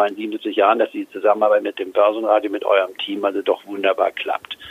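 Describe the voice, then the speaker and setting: A man talking at a very fast pace. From Germany, Goslar (Harz). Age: 70s. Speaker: investment strategist. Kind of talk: interview. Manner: halting.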